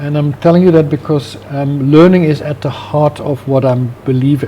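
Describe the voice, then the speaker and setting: A man with a Dutch accent speaks at a moderate pace and a fairly high pitch. His intonation stays fairly even, with noticeable background noise behind him. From Netherlands. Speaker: business founder and CEO. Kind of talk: interview. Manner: hesitant, many fillers.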